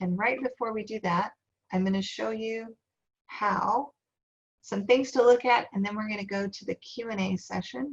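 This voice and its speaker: An American-accented woman speaks softly at a fairly high pitch. Her pace is moderate and her pitch varies in an ordinary way. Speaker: workshop presenter on farm succession. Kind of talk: online workshop presentation. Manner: soft-spoken.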